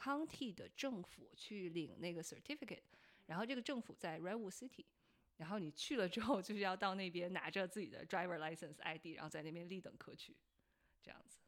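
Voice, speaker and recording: Her medium-pitched voice is an ordinary speaking voice, and the woman talks at a fairly quick pace with lively intonation. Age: 30s. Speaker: podcast host. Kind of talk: casual chat.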